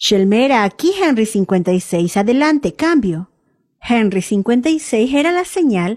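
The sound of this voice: Over a quiet background comes an unforced reading voice with lively intonation.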